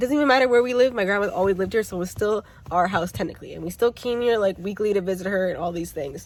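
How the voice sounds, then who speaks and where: A woman with a Toronto accent speaks at medium pitch with ordinary pitch variation. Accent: Canadian English (Toronto area). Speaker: YouTuber. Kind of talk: casual storytelling vlog. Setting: outdoors. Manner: loud.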